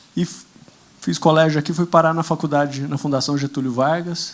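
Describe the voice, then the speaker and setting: A man's fairly high voice with a rural Brazilian accent, fairly quick and fairly even in intonation. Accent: Brazilian interior. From Brazilian interior. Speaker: political candidate on a panel. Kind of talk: conference panel talk.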